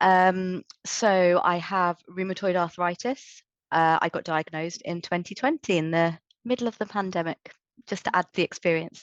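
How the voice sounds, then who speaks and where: Recorded with a dry, close sound, no echo and a quiet background, a woman with a British accent speaks at a moderate pace in a medium pitch with fairly even intonation. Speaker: patient panelist. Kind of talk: panel discussion.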